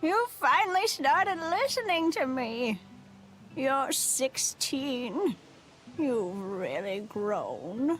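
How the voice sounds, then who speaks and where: A put-on character voice speaks at a high pitch with very wide pitch swings and a very slow pace. Clear background noise runs throughout. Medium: video game. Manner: stubborn, preachy.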